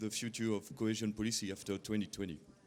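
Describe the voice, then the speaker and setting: A man with a mid-range voice talks at a fairly brisk rate. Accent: strong French. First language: French. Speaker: journalist. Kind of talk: press conference question. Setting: press conference. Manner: halting.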